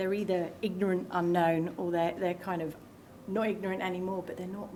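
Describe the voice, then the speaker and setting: Against noticeable background noise and audible room echo, a woman speaks at a medium pitch in a monotone, flat intonation. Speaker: cyber security outreach staff. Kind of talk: conference talk. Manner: loud; halting, many fillers and repeats.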